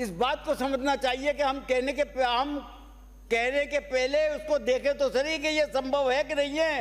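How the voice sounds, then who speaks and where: Extremely high in pitch, a man speaks with very even loudness and monotone, flat intonation. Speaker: state legislator. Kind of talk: legislative assembly speech. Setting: legislative assembly. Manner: forceful.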